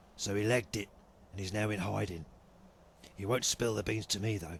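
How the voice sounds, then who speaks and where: A man puts on a raspy character voice, pitched fairly low. Background noise is clearly audible. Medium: machinima. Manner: blunt, colloquial.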